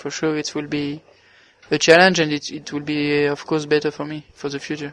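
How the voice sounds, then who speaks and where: This man talks at a moderate pace. His pitch is fairly high. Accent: French. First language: French. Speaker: racing driver. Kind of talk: interview. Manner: halting.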